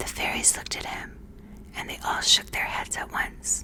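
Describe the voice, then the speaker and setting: Whispered words come at a moderate pace through noticeable background noise. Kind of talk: bedtime story reading. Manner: soft, relaxing, close-mic whisper.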